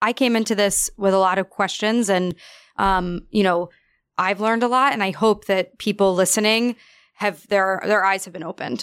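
On a very clean recording with a silent background, a woman with an American accent speaks in an ordinary speaking voice, at a medium pitch and moderate pace with fairly even intonation. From New York. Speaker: podcast co-host. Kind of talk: casual chat and interview.

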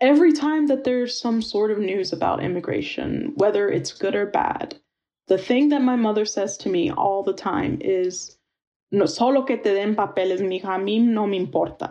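Speaking at a moderate pace in an American accent, a woman uses a medium pitch, lively intonation and a dark, mellow tone. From rural Northern Virginia. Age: 20s. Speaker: university student. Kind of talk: personal testimony. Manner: casual, many fillers.

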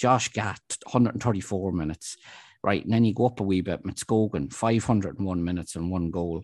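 Against a quiet background, a man with an Irish accent speaks at a very fast pace and fairly low pitch, with ordinary pitch variation and a dry, close sound with no echo. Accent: Irish (Louth). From Ireland, Dundalk (County Louth). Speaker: local sports journalist, podcast co-host. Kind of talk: casual football discussion.

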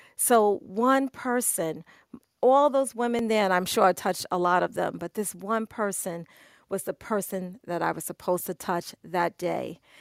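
In a New York accent, a woman speaks with a dry, close sound that has no echo. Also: medium pitch for a woman, ordinary pitch variation, moderate pace, very clean recording, silent background. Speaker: photographer. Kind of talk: casual chat. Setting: Clubhouse audio room.

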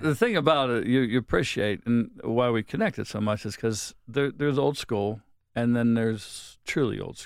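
The very clean recording, with a silent background, captures a man speaking in a Pittsburgh accent. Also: medium pitch for a man, ordinary pitch variation, moderate pace. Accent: Western Pennsylvania (Pittsburgh). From Pittsburgh area, Pennsylvania. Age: 60s. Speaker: hair salon owner. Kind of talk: casual chat.

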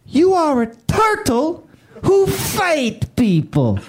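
A female-sounding voice, put on as a character, speaks very slowly at a high pitch. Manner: mocking imitation of a foreign speaker.

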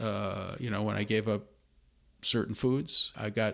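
On a very clean recording with a silent background, a man with an American accent and a plain, everyday voice speaks at a fairly low pitch with fairly even intonation. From US Midwest, Chicago. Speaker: consultant for nonprofits, former professor. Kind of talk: interview, personal testimony.

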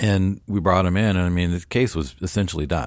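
Captured in a very clean recording with a silent background, a man with a West Coast accent talks very fast at a very deep, low pitch, using ordinary pitch variation. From Portland, Oregon, US. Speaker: orthodontist. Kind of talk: interview. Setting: studio.

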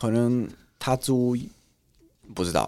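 A man talks at a medium pitch with an Italian accent. The recording is very clean, with a silent background. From Italy. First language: Italian (speaking Chinese). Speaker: content creator. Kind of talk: casual chat.

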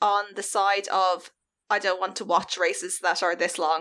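A woman's medium-pitched voice with an Irish accent. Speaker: podcast co-host. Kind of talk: casual chat.

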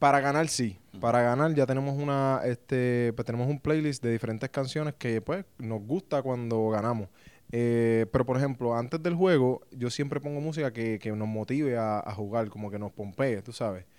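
Speaking with a Puerto Rican accent, a man has a medium pitch and ordinary pitch variation. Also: moderate pace. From Puerto Rico. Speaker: professional baseball pitcher. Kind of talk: casual interview. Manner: halting, many fillers.

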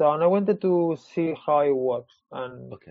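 A man's fairly high-pitched voice with lively intonation and a Spanish accent. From Spain. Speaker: comic book artist. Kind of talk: casual interview. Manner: halting.

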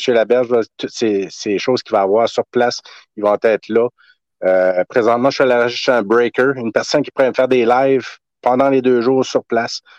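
At a moderate pace, a man with an ordinary speaking voice talks at a medium pitch and fairly even intonation. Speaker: soldier and collector event organizer. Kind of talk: interview.

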